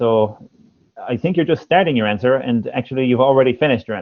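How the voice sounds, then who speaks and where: A man speaks with an Irish accent. His pace is very fast. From Ireland. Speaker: English teacher and former language examiner. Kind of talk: speaking test feedback in a livestream. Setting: livestream.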